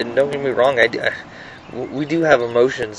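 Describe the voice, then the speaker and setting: Fairly even intonation from a man at a moderate pace, noticeable background noise behind him. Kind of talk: personal video monologue. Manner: halting, many fillers and repetitions.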